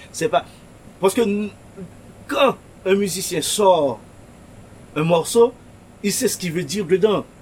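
Lively intonation comes with a fairly slow pace and long, frequent pauses. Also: man, high pitch for a man. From Haiti, Pétionville. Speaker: shop owner. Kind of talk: interview. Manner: halting.

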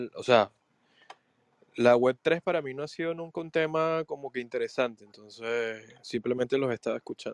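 Pitch varies in an ordinary way at a moderate pace. The recording sounds dry and close, without any echo. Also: man. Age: 20s. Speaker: podcast co-host. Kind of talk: casual chat. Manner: halting.

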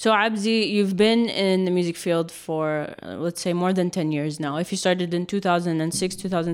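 A woman's fairly low, fairly evenly intoned voice, an unremarkable speaking voice. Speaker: podcast host. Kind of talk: casual interview chat.

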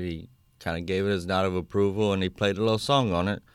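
Over a silent background in a very clean recording, a man with a south Louisiana accent talks very fast in a very deep, low voice with fairly even intonation. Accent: south Louisiana Cajun English. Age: 30s. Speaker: Cajun fiddler. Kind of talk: interview. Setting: radio studio.

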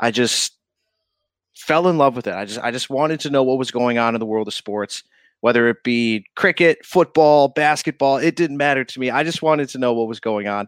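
A man with an upstate New York accent at a fairly quick pace and medium pitch, in a very clean, silent-background recording with a dry, close sound and no echo. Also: ordinary pitch variation. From upstate New York (Syracuse area). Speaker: TV reporter. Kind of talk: casual chat.

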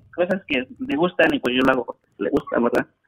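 A man talks in a high pitch. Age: 30s. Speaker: caller. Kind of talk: call-in advice conversation.

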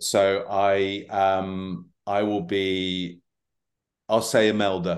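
Against a quiet background, a man speaks at a very slow pace with a fairly low pitch and monotone, flat intonation. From southern England, Brighton. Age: 30s. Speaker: actor. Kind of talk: casual chat.

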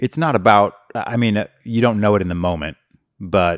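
A man with a Midwestern accent talks at a fairly quick pace with ordinary pitch variation. The recording is very clean with a silent background, and the sound is dry and close with no echo. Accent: general Midwestern American. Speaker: podcast host. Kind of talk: casual interview.

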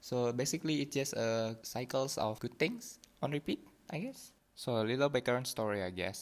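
A man speaks with an Indonesian accent. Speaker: podcast host. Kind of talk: casual solo monologue. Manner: hesitant.

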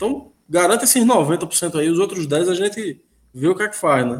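Lively intonation marks a man's high-pitched voice as he talks at a moderate pace. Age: 30s. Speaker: football commentator. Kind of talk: casual football discussion. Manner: halting, repeats words.

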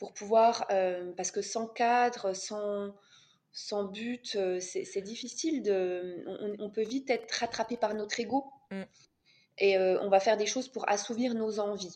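Her pace is very slow. The woman's pitch is fairly high and her intonation fairly even. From France. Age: 30s. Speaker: couples coach. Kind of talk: podcast interview. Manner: halting.

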